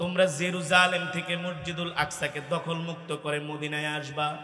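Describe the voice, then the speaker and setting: A man's raised, projected voice cuts through noticeable background noise. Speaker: Islamic preacher. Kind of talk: religious sermon.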